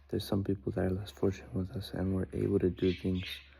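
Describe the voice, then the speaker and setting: At a fairly quick pace, a man with a very deep, low pitch and a dark, mellow tone talks with fairly even intonation. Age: 20s. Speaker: swimmer and vlogger. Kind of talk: personal vlog monologue. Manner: casual, halting with filler words.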